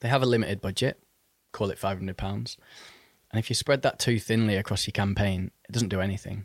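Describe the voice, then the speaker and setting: A man speaks at a very fast pace with a fairly low pitch and fairly even intonation. The recording is very clean, with a silent background. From Manchester, northwest England. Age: 30s. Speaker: music marketing agency founder. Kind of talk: casual interview. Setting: in person.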